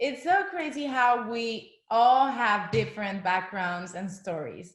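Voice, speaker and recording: Very slow, somewhat breathy speech from a woman with a fairly high pitch and a Spanish accent. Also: lively intonation. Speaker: former actress, direct sales seller. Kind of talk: business presentation. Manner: casual, enthusiastic.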